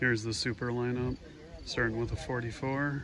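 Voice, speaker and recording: Against noticeable background noise, a man speaks at a medium pitch and a fairly quick pace. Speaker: tractor collector video host. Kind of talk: casual walkaround narration. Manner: fast.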